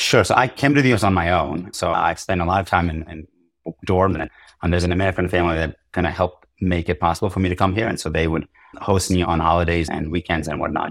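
A man's very deep, low voice at a very fast pace, on a very clean recording with a silent background. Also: ordinary pitch variation. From Georgia (country), Soviet era. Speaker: tech CEO. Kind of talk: interview conversation.

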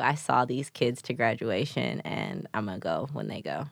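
With an American accent and vocal fry, a woman talks at a fairly slow pace. The recording is very clean, with a silent background. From Chicago east side, US Midwest. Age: 20s. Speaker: former teacher, creative. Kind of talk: casual chat.

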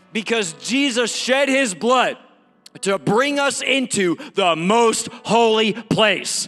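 Over noticeable background noise, a man speaks in a raised, projected voice. His pitch is extremely high, with ordinary variation. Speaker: guest preacher and actor. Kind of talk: sermon. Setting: church with congregation. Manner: animated, exhortative, rallying the congregation with call-and-response; urgent, fervent, punchy repeated phrases.

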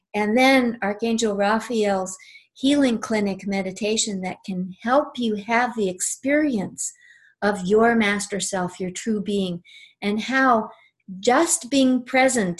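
Against a silent background in a very clean recording, a woman speaks at a fairly slow pace in a somewhat breathy, fairly high voice with a soothing tone and ordinary pitch variation. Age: 60s. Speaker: angel teacher and author. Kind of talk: casual interview chat; guided meditation, heart-centred breathing and visualisation led in second person. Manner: warm, unhurried; slow, soothing, gently paced instructions.

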